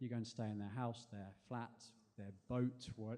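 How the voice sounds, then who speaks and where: In an English accent, a man talks very fast with a dark, mellow tone. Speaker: spoken word performer. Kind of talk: storytelling performance. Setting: stage with audience.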